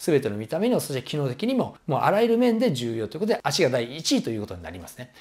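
A man's very fast speech with very wide pitch swings over a quiet background. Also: hardly any pauses. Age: 50s. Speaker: personal trainer. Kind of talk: tutorial. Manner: casual, many filler words. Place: home room.

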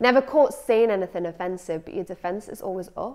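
Speaking at a fairly quick pace with a Scottish accent, the voice has a dark, mellow tone over a quiet background. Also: woman. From Scotland. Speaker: spoken word poet. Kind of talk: performed spoken-word poem, satirical rant. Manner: sardonic, mocking, rhythmic rhyming delivery. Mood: sardonic, expressive. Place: studio. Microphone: lapel.

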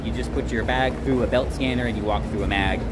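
With music playing in the background, a man speaks at a fairly quick pace. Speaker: travel vlogger. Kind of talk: casual vlog chat. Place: station. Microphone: phone near.

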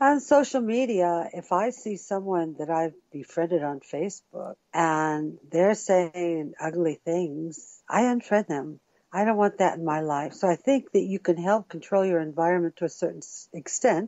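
Her voice is a normal speaking voice, a woman's with a fairly low pitch, lively intonation and a fairly slow pace. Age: middle-aged. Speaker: music producer and actress. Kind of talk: interview answer.

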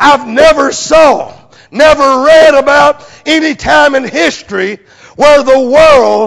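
A man with an American accent, an extremely high-pitched voice, a fairly slow delivery, and a quiet background. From United States. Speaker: preacher. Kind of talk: sermon. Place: church. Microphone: lapel.

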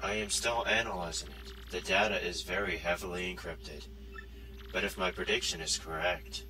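Over loud background noise, a man performs a cartoonish character voice at a very deep, low pitch and a moderate pace. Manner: formal, measured, polite.

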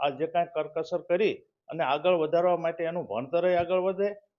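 Speaking with a high pitch, a man keeps to a monotone, flat intonation. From Gujarat, Botad district village. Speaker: village resident. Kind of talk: interview.

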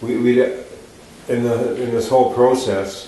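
A man's dark, mellow tone in strong room echo

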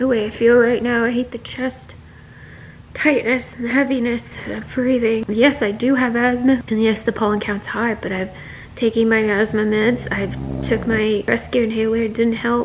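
A woman's strained voice stays monotone and flat over light background noise. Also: moderate pace. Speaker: vlogger. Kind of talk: casual vlog chat. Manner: strained, breathless, sick-sounding voice. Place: home room. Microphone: phone near.

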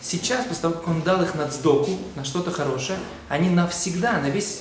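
Fairly quick delivery with audible room echo and light background noise. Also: man. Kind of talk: short religious video lecture. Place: church.

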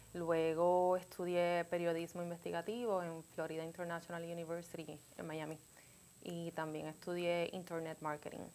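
A woman's fairly low voice with a dark, mellow tone, monotone, flat intonation and a moderate pace. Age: 30s. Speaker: greeting card designer; interview guest. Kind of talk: interview. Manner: halting. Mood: relaxed, friendly. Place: studio. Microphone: lapel.

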